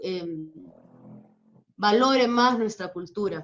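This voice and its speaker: A woman talks at a very slow pace. Her voice sits at a medium pitch. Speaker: dance teacher and marinera champion. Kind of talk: interview.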